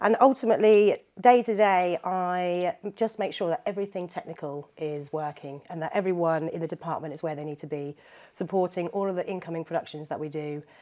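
Against a quiet background, a woman speaks with a fairly low pitch and a dark, mellow tone. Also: big swings in loudness. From Norwich, England. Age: 30s. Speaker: theatre technical manager. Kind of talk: casual chat.

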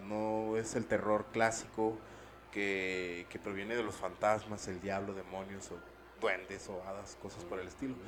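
Here a man is talking. His pace is fairly slow. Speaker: podcast co-host. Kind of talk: casual chat.

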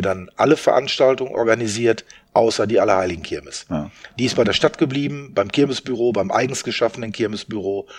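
A man speaks at a medium pitch in an unremarkable speaking voice. His pace is fairly quick, with ordinary pitch variation. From Westphalia, Germany (Soest). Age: 60s. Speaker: event organizer. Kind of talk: casual interview.

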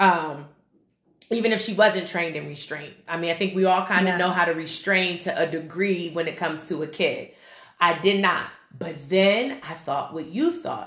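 A woman with a fairly low pitch, ordinary pitch variation and a moderate pace: an ordinary speaking voice. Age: 30s. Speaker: podcast host and group fitness instructor. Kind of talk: casual chat.

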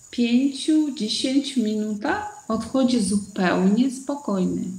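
A woman speaks with a high pitch and lively intonation. Noticeable background noise runs underneath. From Uzbekistan. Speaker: entrepreneur running women's projects. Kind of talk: live-streamed panel discussion.

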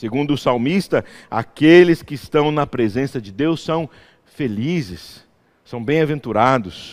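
A man speaks at a fairly slow pace in a fairly high pitch, his intonation lively and his loudness swinging widely. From interior of São Paulo state, Brazil. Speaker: pastor. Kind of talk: sermon. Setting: church.

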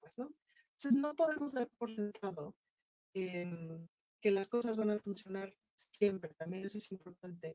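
Speaking at a fairly slow pace in a dry, close sound with no echo, a woman of medium pitch has a dark, mellow tone, lively intonation and big swings in loudness. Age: 40s. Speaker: actress and political candidate. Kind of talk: interview. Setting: studio.

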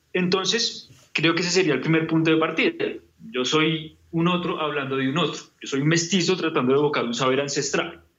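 In a room with audible echo, a man with a fairly high pitch talks at a fairly quick pace with fairly even intonation. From Colombia, Bogotá. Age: 30s. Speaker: painter. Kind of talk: interview.

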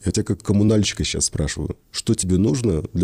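A man talks at a fairly quick pace in a dark, mellow tone with ordinary pitch variation. The sound is dry and close, with no echo. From Russian Far East. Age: 40s. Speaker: theatre director. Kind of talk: casual chat.

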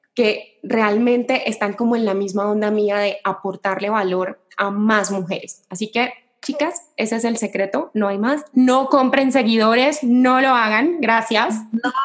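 A woman speaks at a fairly slow pace, with hardly any pauses. Her pitch is fairly high and her pitch variation ordinary. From Colombia, Cali. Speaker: social media entrepreneur. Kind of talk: interview.

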